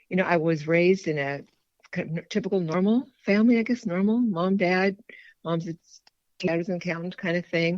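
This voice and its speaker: A woman's plain, everyday voice, with ordinary pitch variation and a moderate pace. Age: 60s. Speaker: food addiction recovery member. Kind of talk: testimony. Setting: podcast interview.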